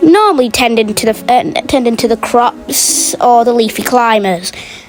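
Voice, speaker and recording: A woman sounds enthusiastic, with fairly high pitch and ordinary pitch variation. She keeps a moderate pace while music plays in the background. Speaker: gaming youtuber. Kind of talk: gameplay commentary. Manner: stuttering; casual, enthusiastic.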